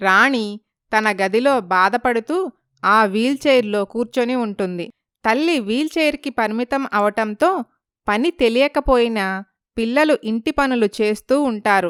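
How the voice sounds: A woman's fairly high, fairly bright voice with a clear, smooth tone, ordinary pitch variation and a fairly slow pace, in a dry, close sound with no echo on a very clean recording with a silent background.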